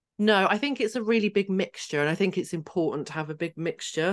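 A woman with a southern English accent at a fairly quick pace, against a quiet background. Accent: English, southern England. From Hertfordshire, England. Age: 30s. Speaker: trauma coach and author. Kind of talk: casual interview chat.

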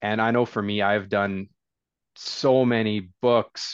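This man speaks with a Canadian accent at a very slow pace and a medium pitch. His intonation stays fairly even against a quiet background. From northern British Columbia, Canada. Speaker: real estate investor. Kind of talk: casual interview.

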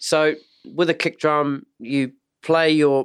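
Here a man with a fairly high pitch speaks in a strong New Zealand accent. The sound is dry and close with no echo, on a very clean recording with a silent background. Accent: thick New Zealand. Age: 40s. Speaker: podcast host, drummer. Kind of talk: casual interview chat.

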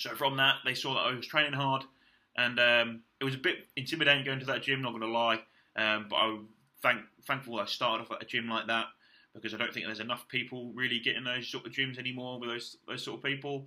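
With a British accent, a man speaks very fast at a medium pitch in a bright, sharp tone. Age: 20s. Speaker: bodybuilder podcaster. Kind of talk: casual monologue. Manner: animated.

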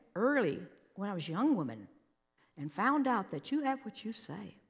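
The voice has vocal fry, a moderate pace and very wide pitch swings. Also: woman. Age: 80s+. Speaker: preacher. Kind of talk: sermon. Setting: church stage with audience.

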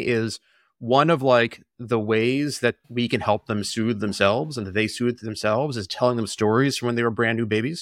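At a fairly quick pace, a man with an American accent uses an ordinary speaking voice on a very clean recording with a silent background. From Boston area, Massachusetts. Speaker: tech product executive and stay-at-home parent. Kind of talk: casual interview conversation.

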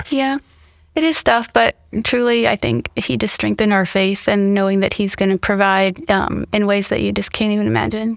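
An ordinary speaking voice from a woman with an American accent, medium in pitch, with lively intonation, very even loudness and a moderate pace. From Mississippi, US South; teens in Ohio. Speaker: church member, hurricane flood survivor. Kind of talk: interview storytelling.

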